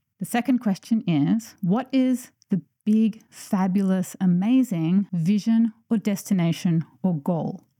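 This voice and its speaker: A woman's very slow, very evenly loud voice at medium pitch, dark and mellow and somewhat breathy, with ordinary pitch variation, hardly any pauses, and a dry, close sound with no echo. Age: 40s. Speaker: podcast host, environmental engineer and author. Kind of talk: solo podcast monologue. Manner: animated.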